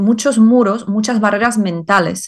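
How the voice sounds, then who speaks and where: Her accent is non-native. The voice belongs to a woman. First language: not Spanish (speaking Spanish). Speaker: life purpose coach and author. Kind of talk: interview. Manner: hesitant with many fillers.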